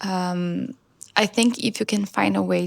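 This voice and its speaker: At a moderate pace, the voice comes across soft-spoken. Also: woman. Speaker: vlogger and musician. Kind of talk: casual vlog talk. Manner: soft-spoken, quiet.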